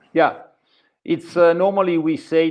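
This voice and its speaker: With an Italian accent, a man is talking. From northern Italy, Varese province. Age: 50s. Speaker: free diver. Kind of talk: interview. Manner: halting.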